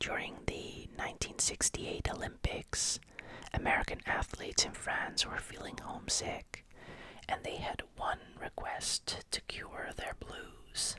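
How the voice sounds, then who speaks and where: Someone whispers at a fairly slow pace. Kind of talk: ASMR whispered fact narration. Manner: whispered.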